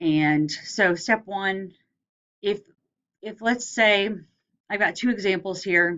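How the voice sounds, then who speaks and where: With long, frequent pauses, a woman at a medium pitch speaks at a very slow pace with ordinary pitch variation. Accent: Southern US. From US South. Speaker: lecturer. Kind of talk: lecture. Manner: casual, hesitant with fillers.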